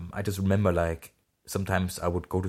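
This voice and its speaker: The recording is very clean, with a silent background. A man with a fairly low, somewhat breathy voice talks at a fairly quick pace. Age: 20s. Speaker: podcast host, YouTuber. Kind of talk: personal monologue. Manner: halting.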